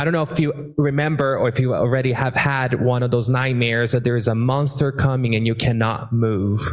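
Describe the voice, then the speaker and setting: At a fairly quick pace with hardly any pauses, a man of medium pitch speaks at very even loudness, with audible room echo around him. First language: Portuguese. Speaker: immigrant rights activist. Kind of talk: panel discussion. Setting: stage with audience. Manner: animated.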